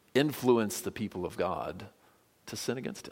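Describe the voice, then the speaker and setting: A man talks at a medium pitch. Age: 40s. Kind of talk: sermon.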